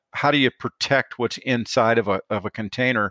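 A man with a Midwestern US accent speaks at a moderate pace in a medium pitch, his tone bright and sharp and his intonation fairly even. The sound is dry and close with no echo, over a quiet background. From northern Illinois. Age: 50s. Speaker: kennel company owner. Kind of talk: interview. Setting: remote call over satellite internet.

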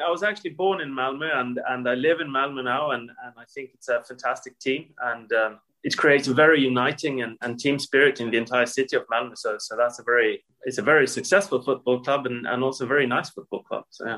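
A man with a Swedish accent talks at a very fast pace with hardly any pauses. His loudness swings widely while his pitch varies in an ordinary way. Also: medium pitch for a man. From Sweden. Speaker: corporate tax executive. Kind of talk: interview.

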